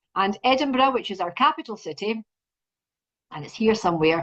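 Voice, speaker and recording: This woman speaks at a medium pitch with a Scottish accent. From Scotland. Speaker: university representative. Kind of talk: presentation.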